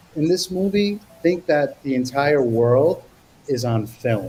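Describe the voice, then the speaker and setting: A man with an American accent speaks with lively intonation over noticeable background noise. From US, Brooklyn, New York. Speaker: actor. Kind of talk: interview.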